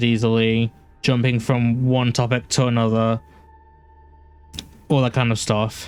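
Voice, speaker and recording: A man with a British accent at medium pitch, fairly slow and flat in a monotone, music playing behind him. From UK. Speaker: game streamer. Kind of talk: live gameplay stream chat. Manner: halting, repeats words.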